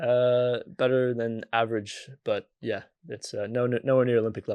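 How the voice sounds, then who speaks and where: Speaking with an American accent, a man uses a medium pitch and a moderate pace. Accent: American, little changed. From US Midwest, Michigan. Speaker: sports physiotherapist. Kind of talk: casual interview.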